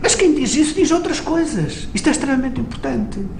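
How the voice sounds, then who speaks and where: A fairly quick delivery with noticeable noise in the background. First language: Mirandese (speaking Portuguese). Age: 50s. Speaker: interviewee on Mirandese language. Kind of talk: documentary interview.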